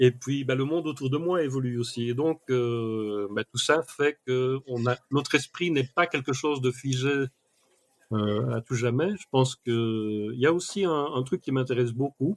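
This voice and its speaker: A man speaks at a medium pitch and a fairly slow pace, with ordinary pitch variation. The sound is dry and close, with no echo. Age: 60s. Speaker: mind mapping expert. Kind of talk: podcast interview. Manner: hesitant, with fillers.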